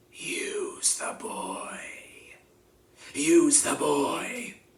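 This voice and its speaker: A man puts on a character voice with an extremely high pitch. It sounds raspy. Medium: read story. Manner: cold, commanding.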